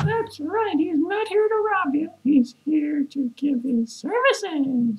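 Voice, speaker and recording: A put-on character voice, pitched high, goes along at a fairly slow pace. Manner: cocky, mocking.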